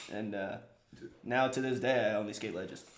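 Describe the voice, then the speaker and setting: In an American accent, the speaker talks with ordinary pitch variation amid audible room echo. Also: man. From San Francisco Bay Area, US. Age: 20s. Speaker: pro skater and photographer. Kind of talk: casual chat.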